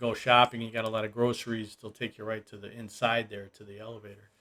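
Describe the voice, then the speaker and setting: Very fast, a man speaks at a medium pitch in a bright, sharp tone. His intonation is monotone and flat. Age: 60s. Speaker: expat video blogger. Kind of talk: casual vlog talk. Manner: casual, rambling with fillers.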